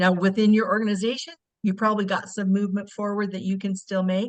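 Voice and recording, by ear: A woman talks at a fast pace. Her pitch shows little movement. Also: medium pitch for a woman.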